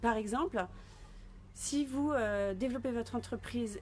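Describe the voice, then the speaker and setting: A woman with a fairly high pitch and vocal fry speaks with ordinary pitch variation. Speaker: business coach. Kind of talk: live stream talk. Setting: live video stream.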